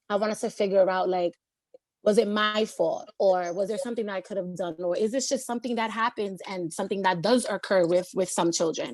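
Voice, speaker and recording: Talking at a fairly quick pace, a woman with a New York accent uses a medium pitch and ordinary pitch variation. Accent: New York City. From New York City, Lower East Side of Manhattan. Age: 30s. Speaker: community college student. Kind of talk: panel discussion.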